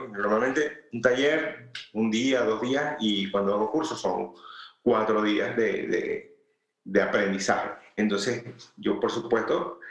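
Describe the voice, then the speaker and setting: A man's medium-pitched voice in a Venezuelan accent, with ordinary pitch variation, a fairly slow pace and audible room echo. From Venezuela, Valencia. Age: 40s. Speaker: food and product photographer. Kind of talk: interview.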